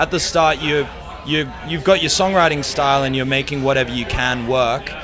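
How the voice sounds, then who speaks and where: The speaker talks with an Australian accent at a moderate pace and fairly even intonation. Noticeable background noise runs underneath. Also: man, fairly high pitch for a man. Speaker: musician. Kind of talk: interview.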